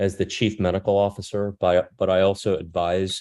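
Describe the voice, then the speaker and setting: This is a man with a fairly low voice. The background is quiet. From US East (New Jersey, Northern Virginia); early childhood Korea and France. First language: Korean. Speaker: critical care physician, retired army officer. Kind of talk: presentation talk. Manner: hesitant, many fillers.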